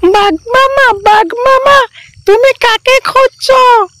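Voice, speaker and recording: Here is a cartoonish character voice. Its pitch is extremely high. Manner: sing-song, repetitive.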